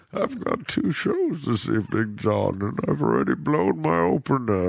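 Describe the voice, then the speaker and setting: A man talks in a put-on character voice. His pace is moderate. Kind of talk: comic impression of a film villain. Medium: game stream. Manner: grandiose, menacing, theatrically solemn.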